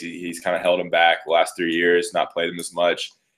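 The setting is quiet. The speaker is a man. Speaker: remote podcast guest. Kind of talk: interview answer. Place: home room. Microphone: webcam.

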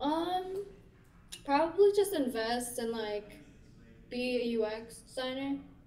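Her voice high-pitched yet dark and mellow in tone, a woman with an American accent speaks at a very slow pace, with very wide pitch swings, long, frequent pauses and audible room echo. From North Carolina, US. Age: 18. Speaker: college student; guest. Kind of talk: casual chat. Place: home room.

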